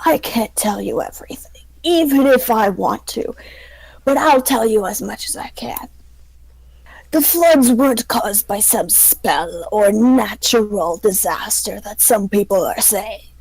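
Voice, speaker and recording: A female-sounding voice, fairly high in pitch, performs a put-on character voice. The pace is fairly slow. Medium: actual play. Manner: confiding, evasive.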